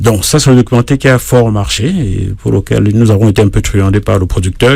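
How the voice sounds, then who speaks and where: A man's fairly low voice at a very fast pace, with noticeable background noise. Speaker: singer-songwriter and journalist. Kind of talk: radio interview. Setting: radio studio. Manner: hesitant fillers.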